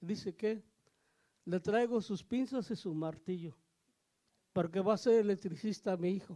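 A man with a high-pitched, dark and mellow voice and ordinary pitch variation. He speaks fairly slowly, with long pauses coming often. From Mexico, Oaxaca. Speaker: pastor. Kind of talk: testimony.

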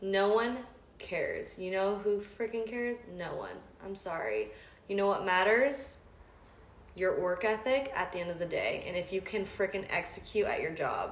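A woman of medium pitch speaks at a moderate pace with an animated tone and ordinary pitch variation. Noticeable background noise and audible room echo surround her voice. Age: 20s. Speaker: podcast co-host, law student. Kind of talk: casual chat.

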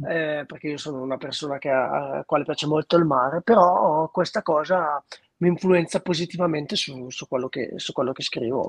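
A man talks at a fairly quick pace in a normal speaking voice. The sound is dry and close, with no echo. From northern Italy, Lombardy (Treviglio area). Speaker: singer-songwriter. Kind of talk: interview.

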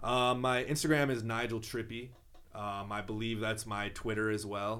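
With an American accent, a man speaks fairly slowly at a fairly low pitch, his intonation fairly even and the room echo audible. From southwest Minnesota, small town. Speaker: rapper. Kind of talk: casual interview chat.

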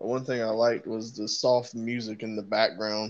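Moderate pace, monotone, flat intonation, and a fairly low pitch from a man over a quiet background. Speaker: podcast co-host. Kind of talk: casual chat. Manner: low-energy, subdued.

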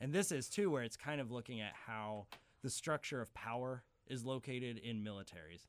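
A man's medium-pitched, unremarkable speaking voice, fairly quick and lively in intonation, on a very clean recording with a silent background. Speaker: film professor. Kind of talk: casual chat.

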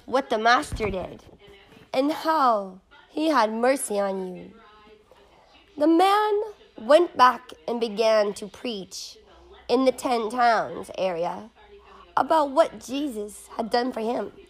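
A woman with an American accent speaks at a very slow pace in a high voice, her lively intonation broken by long, frequent pauses and big swings in loudness. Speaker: person reading scripture aloud. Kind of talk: dramatic scripture narration, reading aloud. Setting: background music while reading. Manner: expressive, storytelling delivery; casual, chatty, rambling between readings.

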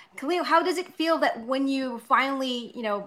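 At a moderate pace, a woman speaks with a high pitch, a bright, sharp tone and ordinary pitch variation. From Philippines. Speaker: podcast co-host. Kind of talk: casual chat.

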